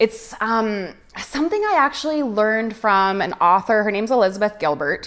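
A woman with a Canadian accent has a normal speaking voice at a fairly high pitch. She talks at a moderate pace with lively intonation. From Canada. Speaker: artist. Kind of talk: casual interview.

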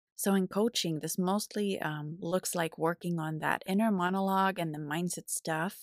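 Fairly even intonation at a moderate pace with a Finnish accent, hardly any pauses, a dry, close sound with no echo, and a very clean recording over a silent background. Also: woman, fairly low pitch for a woman. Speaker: podcast host and life coach. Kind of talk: solo podcast monologue.

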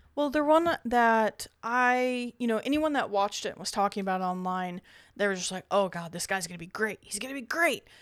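A woman's plain, everyday voice at a fairly high pitch and fairly quick pace, with lively intonation and big swings in loudness, on a very clean recording with a silent background. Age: 30s. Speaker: horror podcast co-host. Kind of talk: casual chat.

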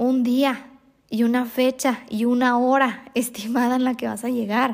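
A woman's high voice in a monotone, flat intonation. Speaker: hypnotherapist and spiritual healer podcast host. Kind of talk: solo podcast monologue. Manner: calm, relaxed.

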